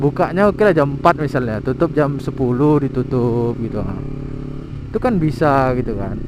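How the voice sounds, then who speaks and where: A man's fairly high-pitched voice against noticeable background noise. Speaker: vlogger. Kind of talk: casual vlog monologue. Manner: halting.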